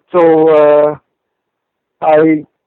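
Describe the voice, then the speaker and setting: This voice belongs to a man. His pitch is fairly high. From Sri Lanka. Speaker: motorcycle engine builder. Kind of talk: casual interview. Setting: phone call.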